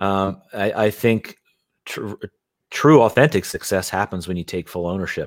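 At a moderate pace, a man speaks in an unremarkable speaking voice, fairly low in pitch with ordinary pitch variation, the sound dry and close with no echo. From Philadelphia, US. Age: 30s. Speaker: real estate investor. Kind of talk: interview conversation. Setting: home studio, remote.

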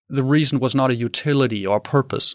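A man with a Danish accent at a very fast pace, fairly high in pitch with ordinary pitch variation, on a very clean recording with a silent background. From Denmark. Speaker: tech entrepreneur. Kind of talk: interview.

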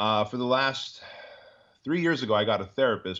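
This is an unremarkable speaking voice, a man's with an American accent. He talks at a fairly quick pace with ordinary pitch variation. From Armenia, raised in the US from age 6. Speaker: entrepreneur and business coach. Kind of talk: interview.

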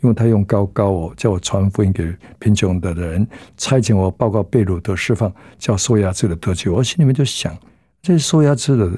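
On a very clean recording with a silent background, a man with a dark, mellow, somewhat breathy tone speaks at a moderate pace in a fairly low pitch with ordinary pitch variation. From southern Taiwan. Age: 70s. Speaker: pastor. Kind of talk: testimony.

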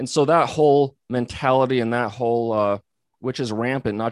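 A man with an American accent in an ordinary speaking voice at a moderate pace, with ordinary pitch variation and a dry, close sound with no echo, in a very clean recording with a silent background. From US, Missoula, Montana. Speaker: physical therapist and company founder. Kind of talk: interview conversation.

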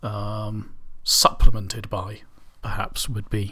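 A man speaks very slowly. His tone is relaxed. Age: 30s. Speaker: radio DJ. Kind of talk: indie radio DJ patter, back-announcing tracks and chatting casually between songs. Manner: relaxed and meandering, heavy with ums and uhs; halting, with repeated words and throat-clearing.

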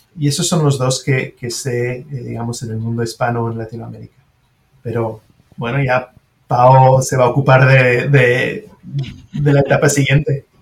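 A man with a French accent speaks fairly slowly at a medium pitch, his voice somewhat breathy and his intonation fairly even. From Switzerland (French-speaking). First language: French (speaking Spanish). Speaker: surgeon and professor. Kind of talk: interview.

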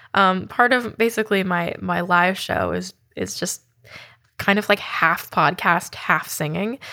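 Vocal fry runs through a woman's bright, sharp voice at a medium pitch, with an American accent. The recording is very clean against a silent background. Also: ordinary pitch variation, fairly slow pace. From US West Coast (Oakland, California). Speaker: podcast host, singer-songwriter. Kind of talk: casual personal anecdote; scripted narration.

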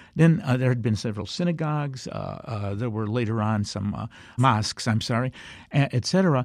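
In a very clean recording with a silent background, a man with an American accent speaks fairly quickly at medium pitch, with ordinary pitch variation. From US Midwest, Chicago South Side. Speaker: historian and author. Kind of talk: interview. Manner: halting.

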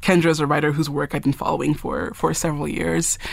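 Her pitch sits very deep and low. This voice belongs to a woman. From Nigeria. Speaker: fiction writer. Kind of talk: interview. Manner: halting.

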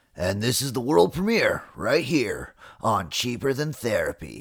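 In a very clean recording with a silent background, a man uses a put-on character voice at a medium pitch and a moderate pace. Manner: announcer-style, hyped.

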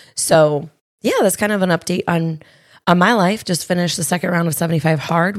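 A raspy woman's voice with vocal fry, fairly low in pitch, at a fairly quick pace, with ordinary pitch variation in a very clean recording with a silent background.

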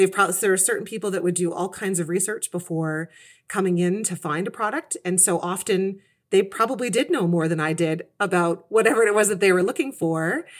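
A woman with a Canadian accent and a medium pitch talks at a fairly quick pace in a normal speaking voice with ordinary pitch variation, in a very clean recording with a silent background. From Canada, Kitchener, Ontario. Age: 40s. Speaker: career changer, former retail manager. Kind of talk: interview conversation.

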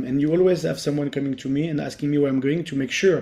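Very fast speech from a man with a French accent, fairly high in pitch, dark and mellow in tone, fairly even in intonation. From France, Paris. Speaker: former Paralympian. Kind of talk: interview.

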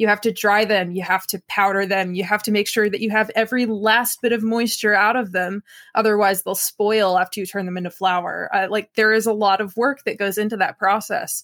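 With an American accent and an ordinary speaking voice, a woman of medium pitch talks at a fairly quick pace with fairly even intonation and hardly any pauses, in a very clean recording with a silent background and a dry, close sound with no echo. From US Northeast, Pocono Mountains, Pennsylvania. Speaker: forager and music graduate student. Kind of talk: interview.

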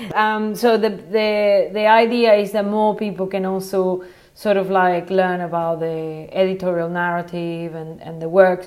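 A woman with a Spanish accent, fairly even intonation, hardly any pauses and big swings in loudness, in audible room echo. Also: medium pitch for a woman, fairly slow pace. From Venezuela, Caracas. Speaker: photographer. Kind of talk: casual interview. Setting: internet call.

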